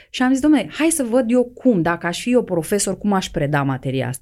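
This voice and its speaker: Speaking at a fairly quick pace, a woman with a medium pitch makes very wide pitch swings. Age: middle-aged. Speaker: mature student and teacher. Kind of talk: interview.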